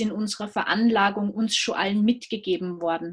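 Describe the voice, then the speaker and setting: A somewhat breathy woman's voice, fairly high in pitch, with an Austrian accent. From Austria, Salzburg. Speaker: business consultant. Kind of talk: interview.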